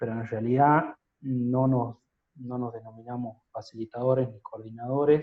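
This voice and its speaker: A man of medium pitch talks at a moderate pace in a monotone, flat delivery, with big swings in loudness. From Catamarca, Argentina. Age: 30s. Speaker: lawyer. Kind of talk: interview answer.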